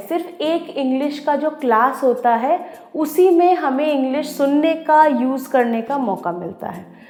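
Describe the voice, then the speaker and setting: A woman's high voice with lively intonation, audible room echo and noticeable background noise. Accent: Odia. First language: Odia (speaking Hindi). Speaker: educator. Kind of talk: educational talk.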